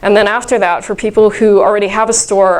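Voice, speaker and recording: A woman speaks at a medium pitch with monotone, flat intonation. The recording has noticeable background noise and audible room echo. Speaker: conference speaker. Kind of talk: workshop talk. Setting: conference room with audience. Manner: loud.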